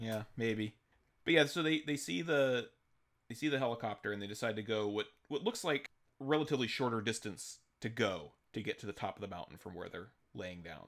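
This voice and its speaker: Recorded very clean with a silent background, a man with a normal speaking voice at a medium pitch talks at a fairly quick pace with lively intonation. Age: 40s. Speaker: film podcast co-host. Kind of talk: casual chat.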